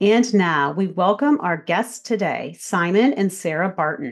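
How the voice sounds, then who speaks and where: Against a quiet background, a woman with an unremarkable speaking voice talks at a medium pitch with ordinary pitch variation. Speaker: podcast host and speech pathologist. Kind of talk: interview conversation.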